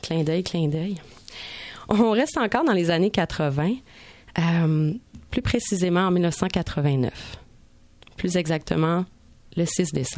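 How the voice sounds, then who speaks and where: The speaker goes at a very slow pace with long, frequent pauses, very even loudness and ordinary pitch variation, in a very clean recording with a silent background. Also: woman, fairly low pitch for a woman. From Montreal. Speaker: radio columnist. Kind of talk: scripted narration.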